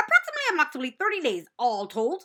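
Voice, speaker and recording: Very fast and high-pitched, a female-sounding put-on character voice swings very widely in pitch. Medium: read story. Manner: repeats words, chattering.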